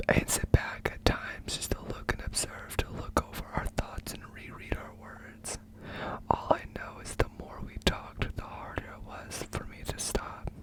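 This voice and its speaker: A whispering man at a fairly slow pace, with big swings in loudness and noticeable background noise. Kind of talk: poetry reading, whispered. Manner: whispered, soft.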